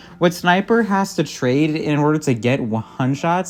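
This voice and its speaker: Music in the background under a fairly slow pace. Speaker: gaming video essayist. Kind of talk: video essay narration.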